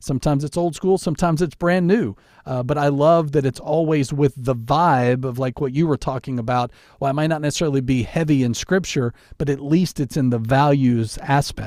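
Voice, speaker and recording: A man talks at a fairly quick pace with a fairly high voice and ordinary pitch variation. It is a plain, everyday voice on a very clean recording with a silent background. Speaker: radio DJ and podcast host. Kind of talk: casual chat. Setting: home studio.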